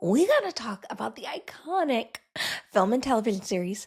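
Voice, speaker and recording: She is whispering. Her pace is moderate. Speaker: podcast host. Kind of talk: casual chat.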